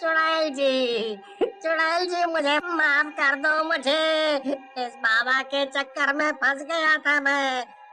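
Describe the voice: A man's cartoonish character voice, raised and projected, at a very slow pace amid clear background noise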